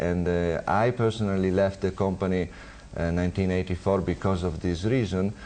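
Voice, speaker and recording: A man with an Italian accent speaks in a very deep, low pitch and a dark, mellow tone. His intonation is fairly even and his loudness very even. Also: moderate pace. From northern Italy, Turin. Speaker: marketing director. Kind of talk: phone-in interview. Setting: TV studio. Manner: halting, many fillers.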